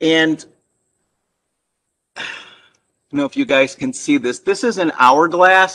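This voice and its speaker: A man with a bright, sharp tone and a high pitch. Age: 50s. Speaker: actor and motivational speaker. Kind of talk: public talk with slides. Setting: virtual presentation. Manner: halting with repeated syllables.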